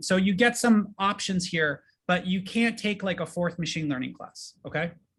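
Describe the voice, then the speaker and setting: Against a quiet background, a man with a high, bright, sharp voice speaks with ordinary pitch variation. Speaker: professor. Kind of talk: presentation. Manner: fast.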